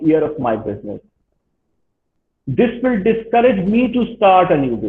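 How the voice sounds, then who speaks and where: Very wide pitch swings mark this moderate-paced voice, heard with audible room echo. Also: man. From Pakistan. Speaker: university lecturer. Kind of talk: lecture.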